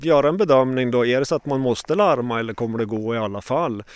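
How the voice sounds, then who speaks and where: The man speaks at a very fast pace. He hardly pauses at all. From Sweden, Åre, Jämtland. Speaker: paramedic and mountain rescuer. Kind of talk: interview.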